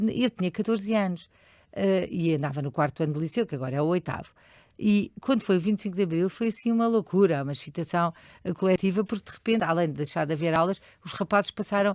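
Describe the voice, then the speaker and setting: Talking at a very fast pace, a woman is heard on a very clean recording with a silent background and a dry, close sound with no echo. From Portugal, Lisbon area (Oeiras). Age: 60s. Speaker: charity leader. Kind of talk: interview. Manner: hesitant, many fillers.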